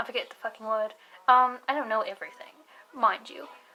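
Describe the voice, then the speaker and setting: Speaking at a moderate pace with an American accent, a woman is heard over noticeable background noise. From United States. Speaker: vlogger. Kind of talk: casual vlog monologue. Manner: rambling with many fillers, self-corrections.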